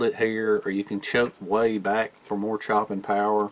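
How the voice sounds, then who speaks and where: A medium-pitched man with a Southern US accent. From US South. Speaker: bushcraft YouTuber. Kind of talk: casual gear review.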